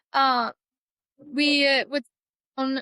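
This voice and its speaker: A woman with an American accent projects a raised, high, bright, sharp voice in flat, monotone intonation, the sound dry and close with no echo. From Cheyenne reservation area, US West. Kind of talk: interview.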